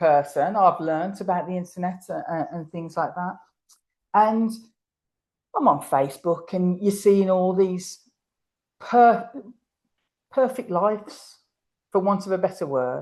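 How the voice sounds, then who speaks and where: Speaking in an English accent at a fairly slow pace, a woman uses a medium pitch with ordinary pitch variation, long, frequent pauses and big swings in loudness. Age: 60s. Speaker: horse camp organiser and rider. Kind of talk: interview conversation. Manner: repetitive, hesitant restarts.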